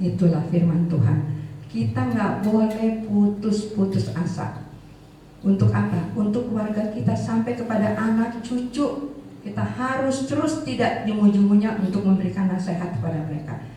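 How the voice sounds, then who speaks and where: A woman's medium-pitched voice with lively intonation at a moderate pace, noticeable background noise and audible room echo. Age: 70s. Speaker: preacher at elderly prayer fellowship. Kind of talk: sermon with personal testimony.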